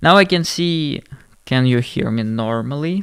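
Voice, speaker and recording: The speaker is a man. He has a non-native accent. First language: not English. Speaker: streamer reacting to videos. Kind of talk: livestream chat. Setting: livestream.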